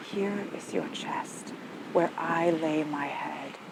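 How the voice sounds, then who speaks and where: A woman's fairly low voice with fairly even intonation over noticeable background noise. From Canada. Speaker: poet. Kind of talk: poetry reading. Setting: outdoors.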